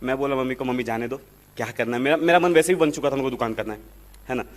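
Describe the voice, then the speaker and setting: With fairly even intonation, a man talks in a medium-pitched voice. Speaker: IAS officer. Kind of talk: testimony. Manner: halting.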